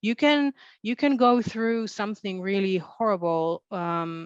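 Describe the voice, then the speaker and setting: A woman's medium-pitched voice with a non-native accent, at a fairly slow pace, with a dry, close sound with no echo and a quiet background. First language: not English. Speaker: author. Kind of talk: panel discussion. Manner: halting.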